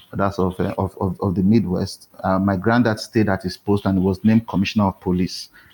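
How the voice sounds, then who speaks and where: A man's fairly low, monotone voice with flat intonation at a fairly quick pace, amid noticeable background noise. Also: hardly any pauses, dry, close sound with no echo. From Nigeria, Warri (Niger Delta). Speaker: novelist and publisher. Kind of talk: interview conversation. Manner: code-switching to standard English.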